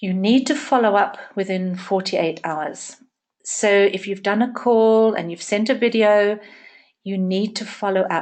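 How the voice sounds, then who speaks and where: Speaking at a fairly slow pace, a woman uses a plain, everyday voice with a medium pitch. Her pitch varies in an ordinary way, and the background is quiet. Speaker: network marketing trainer. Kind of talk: training session.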